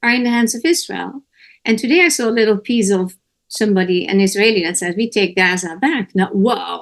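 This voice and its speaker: Speaking with a Dutch accent, a woman uses a fairly high pitch and ordinary pitch variation. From Netherlands. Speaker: talk show host. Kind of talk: interview discussion. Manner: animated.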